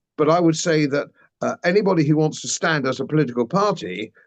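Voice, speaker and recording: Over a quiet background, a man with an English accent speaks very fast at a fairly high pitch, with ordinary pitch variation. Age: 70s. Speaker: former politician and commentator. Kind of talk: interview.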